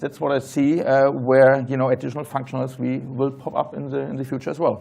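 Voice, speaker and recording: There is noticeable background noise as a man with a German accent speaks at a fairly quick pace. His voice is fairly high in pitch, with monotone, flat intonation. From Germany. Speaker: tech entrepreneur, panelist. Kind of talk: panel discussion.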